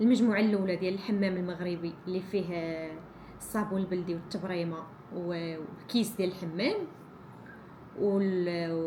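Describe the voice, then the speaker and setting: There is audible room echo and noticeable background noise behind a woman at medium pitch. She keeps a moderate pace and fairly even intonation. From Morocco, Ouled Hriz region. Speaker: vlogger, small business owner. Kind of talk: casual vlog talk. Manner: halting, many restarts.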